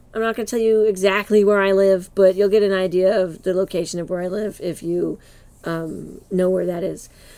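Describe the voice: A woman at a fairly quick pace, dark, mellow tone and little pitch movement. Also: medium pitch for a woman.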